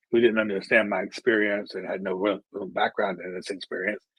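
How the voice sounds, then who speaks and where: Recorded with a dry, close sound and no echo, a man with a fairly low pitch talks at a fairly quick pace. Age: 60s. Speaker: long-term HIV survivor, panelist. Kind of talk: panel discussion on webinar. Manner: halting.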